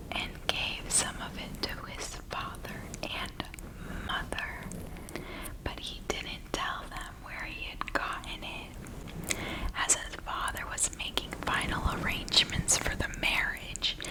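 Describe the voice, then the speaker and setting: A whisper at a very slow pace, with noticeable background noise. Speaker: ASMR channel host. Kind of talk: whispered bedtime Bible story reading (ASMR). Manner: whispered, soft.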